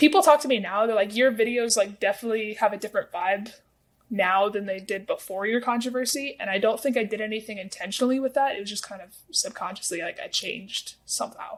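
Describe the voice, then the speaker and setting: A woman speaks at a very fast pace, her fairly high pitch showing ordinary variation. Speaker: TikTok creator. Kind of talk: interview.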